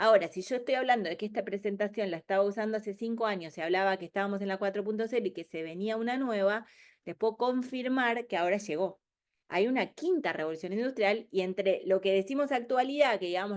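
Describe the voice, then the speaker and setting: Fairly quick, lively speech from a woman with a fairly high pitch over a quiet background. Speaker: speaker on business innovation. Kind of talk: webinar presentation. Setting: online webinar. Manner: fast.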